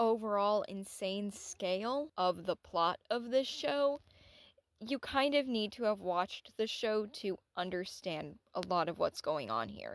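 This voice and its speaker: A woman with a plain, everyday voice speaks at medium pitch and a fairly slow pace with lively intonation, on a very clean recording with a silent background and a dry, close sound with no echo. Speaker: anime analysis YouTuber. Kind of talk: scripted video essay.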